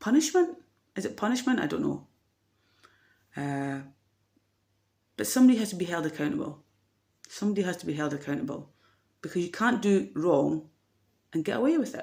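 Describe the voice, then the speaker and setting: A woman with a Dundee accent, fairly low in pitch and dark and mellow in tone, with vocal fry, very wide pitch swings, a fairly quick pace and long, frequent pauses, on a very clean recording with a silent background. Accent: Scottish (Dundee). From Scotland, Dundee. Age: 40s. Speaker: vlogger. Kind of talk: personal vlog monologue. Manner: hesitant, many fillers.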